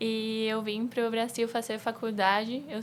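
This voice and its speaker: Her intonation stays monotone and flat. The woman's pitch sits fairly high. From Bolivia. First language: Spanish (speaking Portuguese). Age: 20s. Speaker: civil engineer. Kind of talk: podcast conversation.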